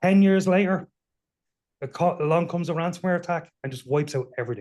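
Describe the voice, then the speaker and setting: Speaking with an Irish accent, a man uses a high pitch with ordinary pitch variation and a dark, mellow tone. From Ireland. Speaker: cybersecurity panelist. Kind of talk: panel discussion.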